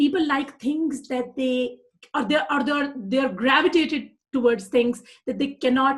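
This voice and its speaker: A woman with a South Asian accent and a high pitch. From Pakistan. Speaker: persuasion coach. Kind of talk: live broadcast talk. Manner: animated; some hesitations.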